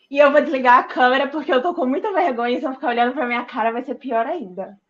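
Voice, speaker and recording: Her pitch is high and varies in an ordinary way. The woman talks very fast. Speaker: lay preacher at women's online meeting. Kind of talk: informal sermon.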